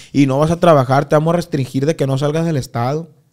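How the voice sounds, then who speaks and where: A man at a very fast pace, fairly high in pitch, with fairly even intonation. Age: 20s. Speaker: corrido singer. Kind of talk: casual interview chat.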